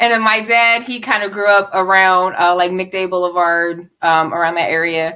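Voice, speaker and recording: In a Philadelphia accent, a woman with a bright, sharp tone and medium pitch talks with fairly even intonation and hardly any pauses. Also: moderate pace. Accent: Philly. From Southwest Philadelphia, US. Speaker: poet and model. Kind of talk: casual interview. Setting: podcast.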